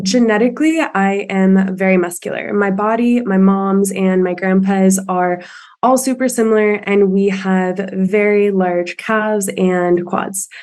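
A woman's normal speaking voice of medium pitch, at a fairly slow pace with very even loudness, ordinary pitch variation and hardly any pauses. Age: 20s. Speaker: listener caller, gym-goer. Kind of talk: casual Q&A conversation. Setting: video call.

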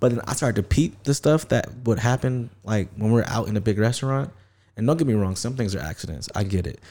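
Speaking at a fairly quick pace with an American accent, a man has a dark, mellow tone and ordinary pitch variation on a very clean recording with a silent background. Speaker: podcast host. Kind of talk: casual chat.

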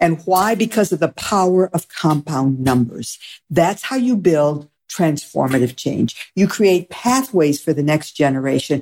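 A woman with an American accent and an ordinary speaking voice talks at a fairly slow pace with a fairly low pitch and lively intonation, on a very clean recording with a silent background. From Michigan. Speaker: sociology professor. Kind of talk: interview.

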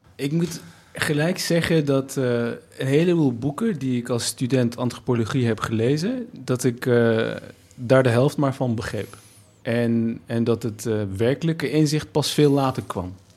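Ordinary pitch variation accompanies a fairly slow pace of speech. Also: man, medium pitch for a man. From Nijmegen, Netherlands, Turkish family. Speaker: writer, anthropologist. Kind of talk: conversational discussion. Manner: hesitant, repeats words.

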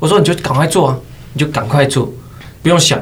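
Audible room echo carries a man's fairly high voice, which shows ordinary pitch variation. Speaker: esports commentator and game streamer. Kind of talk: casual chat.

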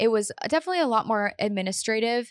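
A woman speaks with an American accent in an ordinary speaking voice. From US Midwest, Painesville, Ohio. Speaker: entrepreneur and community founder. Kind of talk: casual interview chat.

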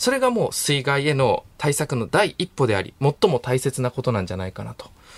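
With vocal fry, a man speaks at a fairly quick pace and a fairly high pitch. His pitch swings very widely, and the sound is dry and close with no echo. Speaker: radio announcer reporting on location. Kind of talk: news report. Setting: radio studio.

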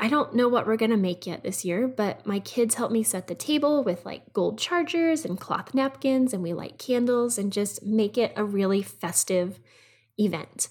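Her fairly high voice somewhat breathy, a woman speaks with lively intonation. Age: 30s. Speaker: podcast host, work-life balance expert. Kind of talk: casual monologue.

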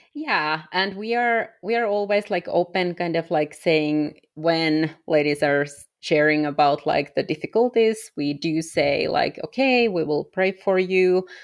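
A woman with a fairly low voice speaks at a fairly slow pace, her intonation lively. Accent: Finnish. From Finland. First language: Finnish. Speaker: missionary. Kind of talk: interview conversation. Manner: frequent laughter; halting.

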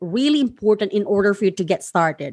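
A woman speaks with a Filipino accent in a fairly high voice. The background is quiet. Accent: Filipino (Bisaya) accented English. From Philippines, Surigao del Sur (Mindanao). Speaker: podcast host and freelancing coach. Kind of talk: solo instructional monologue.

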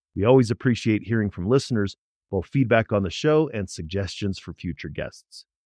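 Against a quiet background, a man with an American accent uses a normal speaking voice, fairly low in pitch, fairly quick and lively in intonation, in a dry, close sound with no echo. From US Midwest, St. Louis, Missouri. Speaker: podcast host, mental health professional. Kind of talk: scripted narration.

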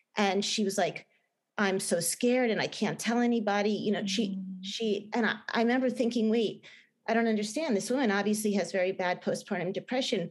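A woman with a New Jersey accent, medium pitch, fairly even intonation, very even loudness and a fairly quick pace, against a quiet background. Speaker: film director and novelist. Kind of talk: interview. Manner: halting, many fillers and restarts.

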